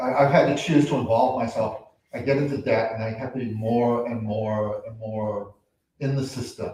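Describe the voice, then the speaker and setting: At a moderate pace and medium pitch, a man with an unremarkable speaking voice keeps a fairly even intonation. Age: 60s. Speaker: workshop participant, nursing student. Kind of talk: personal testimony.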